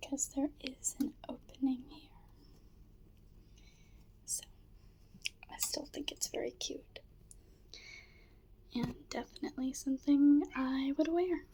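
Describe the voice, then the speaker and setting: A soft-spoken woman whispers at a very slow pace, with long, frequent pauses and big swings in loudness. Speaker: ASMR creator. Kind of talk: ASMR thrift haul, casual talk to camera. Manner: soft-spoken, whispered.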